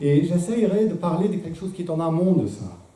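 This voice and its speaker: A man with a non-native accent speaks in a somewhat breathy, dark and mellow tone, with audible room echo around him. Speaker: philosopher giving a talk. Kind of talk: lecture. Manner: hesitant, many filler sounds.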